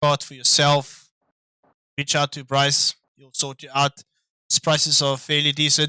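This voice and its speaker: A man with a non-native accent talks at a fairly slow pace, leaving long, frequent pauses, in a bright, sharp tone with monotone, flat intonation and big swings in loudness. The sound is dry and close, with no echo. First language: not English. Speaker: sim racing commentator. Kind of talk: live commentary. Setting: live stream. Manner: casual, hesitant with fillers.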